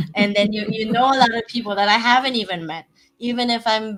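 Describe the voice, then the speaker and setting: A woman with a non-native accent and a bright, sharp tone. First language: not English. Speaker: real estate investor. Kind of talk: podcast interview. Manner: halting.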